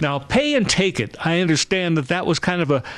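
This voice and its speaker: A man with a plain, everyday voice talks at a fairly quick pace and a fairly high pitch. His intonation is lively, and the background is quiet. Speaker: TV host. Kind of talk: local TV segment hosting.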